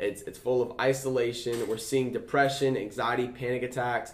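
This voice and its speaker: The pace is fairly fast. A man delivers it at a mid-range pitch. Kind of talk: casual chat. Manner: animated.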